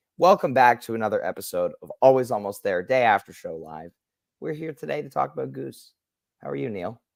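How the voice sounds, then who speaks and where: A man puts on a raspy character voice at a medium pitch. He speaks at a fairly quick pace in a very clean recording with a silent background. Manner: worn-out.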